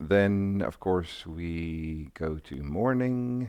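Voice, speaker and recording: Very slowly, a man speaks with a dark, mellow tone and lively intonation. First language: not English. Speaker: gaming streamer. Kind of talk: live gameplay commentary. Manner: halting, many fillers.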